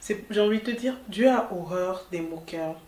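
Noticeable background noise accompanies a woman who keeps a moderate pace and shows ordinary pitch variation. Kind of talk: solo podcast episode, faith-based talk. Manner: informal, direct address to listener.

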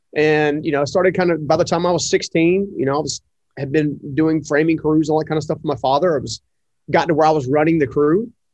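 At a very fast pace, a man with an American accent speaks at a fairly high pitch with fairly even intonation over a quiet background. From North Carolina, US South. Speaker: entrepreneur and author. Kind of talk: casual interview.

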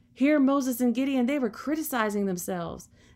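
A woman talks at a fairly quick pace with lively intonation. The recording is very clean, with a silent background. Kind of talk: solo devotional talk. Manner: casual and unedited.

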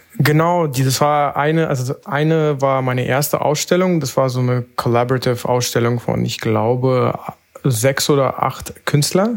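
A man talks in a medium register while noticeable noise sits behind him. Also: ordinary pitch variation, moderate pace. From Berlin. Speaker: analog photographer. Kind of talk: casual chat.

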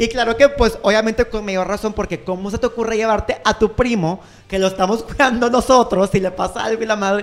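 A man speaks fairly quickly at a high pitch against noticeable background noise. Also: hardly any pauses. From Mexico. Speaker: podcast co-host. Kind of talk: casual chat.

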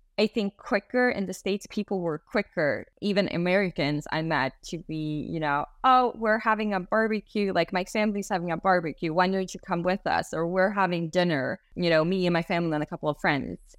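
A woman with a Swedish accent, medium pitch and ordinary pitch variation. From Sweden. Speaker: global mobility specialist. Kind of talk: casual interview.

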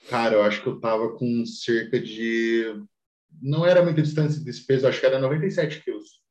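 The room echo is audible as a man speaks at a moderate pace. His pitch is medium, with ordinary variation. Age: 20s. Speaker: amateur bodybuilder. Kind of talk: casual chat.

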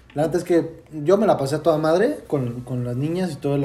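A plain, everyday voice from a man, fairly high in pitch, at a fairly quick pace with ordinary pitch variation. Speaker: podcast host, university student. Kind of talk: casual chat.

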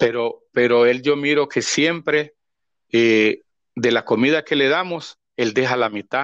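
At a fairly slow pace, a man talks at a medium pitch with fairly even intonation, the sound dry and close with no echo and the background quiet. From Honduras, El Paraíso department. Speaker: pastor. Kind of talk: interview testimony. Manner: halting, many repetitions.

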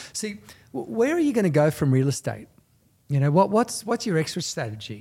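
Recorded very cleanly against a silent background, a man speaks with a dark, mellow tone and lively intonation. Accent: Australian. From Australia. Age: 50s. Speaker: real estate salesperson. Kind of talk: talk in front of a live audience. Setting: real estate office with live audience.

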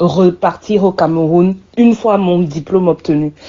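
This woman has an unremarkable speaking voice, pitched fairly low. She talks at a fairly slow pace with ordinary pitch variation. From Cameroon. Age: 30s. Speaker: communications consultant, former journalist. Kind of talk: personal testimony.

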